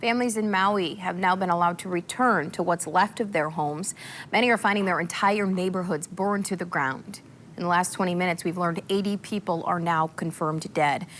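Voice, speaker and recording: A woman with an American accent speaks at a fairly quick pace in an ordinary speaking voice, her medium pitch carrying fairly even intonation. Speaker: morning TV news anchor and reporter. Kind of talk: TV news anchor read.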